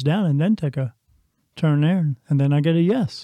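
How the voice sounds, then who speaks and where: In an ordinary speaking voice, a man talks at a fairly quick pace and a fairly high pitch with ordinary pitch variation. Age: 50s. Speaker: podcast host, spiritual medium. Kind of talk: monologue partly read from a script.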